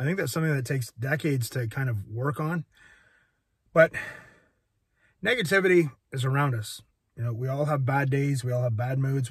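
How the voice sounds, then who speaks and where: On a very clean recording with a silent background, a man speaks at a medium pitch with ordinary pitch variation and a somewhat breathy sound. He talks fairly quickly yet takes long, frequent pauses. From Quebec, Canada. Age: 50s. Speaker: fitness vlogger. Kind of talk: casual vlog monologue. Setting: outdoors on a walk. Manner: halting.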